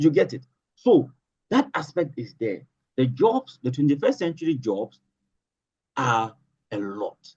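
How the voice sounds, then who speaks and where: Somewhat breathy and dark, mellow in tone, a man with a Ghanaian accent speaks at a moderate pace with ordinary pitch variation. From Northern Ghana. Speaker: political analyst and social commentator. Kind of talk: interview answer.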